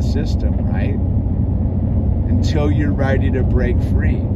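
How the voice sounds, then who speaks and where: Loud background noise runs under a man's voice. He speaks fairly slowly, and the sound is dry with no echo. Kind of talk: casual vlog chat. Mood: reflective, relaxed. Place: car. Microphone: phone near.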